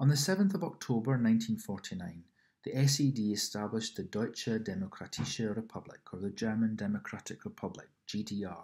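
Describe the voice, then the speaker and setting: A man with a Scottish accent speaks at a fairly quick pace. His medium-pitched voice moves through very wide pitch swings. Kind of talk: ASMR reading of an encyclopedia article. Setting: home apartment with background noise.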